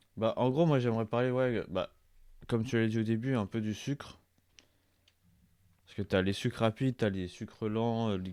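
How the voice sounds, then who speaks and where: At a moderate pace and medium pitch, a man with a dark, mellow tone keeps his intonation fairly even, with big swings in loudness and long, frequent pauses, on a very clean recording with a silent background. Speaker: podcast co-host. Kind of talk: casual chat.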